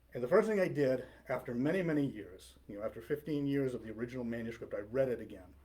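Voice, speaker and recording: Somewhat breathy and medium in pitch, the man's voice varies its pitch in an ordinary way. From Maine. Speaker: author and retired police officer. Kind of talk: library author talk. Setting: library talk with audience. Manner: casual, conversational with fillers.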